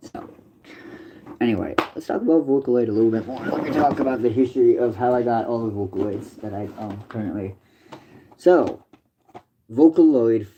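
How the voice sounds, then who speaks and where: Using a medium pitch with ordinary pitch variation, a man speaks at a moderate pace with big swings in loudness and long, frequent pauses. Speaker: livestreamer. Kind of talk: casual livestream chat.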